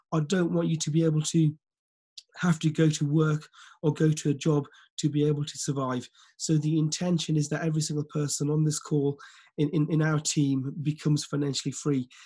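The speaker sounds somewhat breathy, moving at a fairly quick pace with a monotone, flat intonation. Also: man, fairly high pitch for a man. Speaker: forex business mentor and team leader. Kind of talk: motivational training webinar. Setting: video call.

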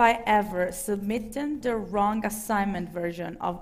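In an Italian accent, a woman speaks at a fairly slow pace and a fairly high pitch. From Italy. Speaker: talk show host. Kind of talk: live talk show. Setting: stage with audience. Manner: animated. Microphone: headset.

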